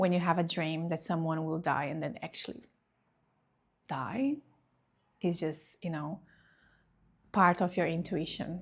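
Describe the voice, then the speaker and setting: With a Portuguese accent, a woman with a fairly low pitch speaks at a fairly slow pace, with ordinary pitch variation and long, frequent pauses, on a very clean recording with a silent background. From Brazil. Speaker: reiki practitioner. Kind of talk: personal testimony.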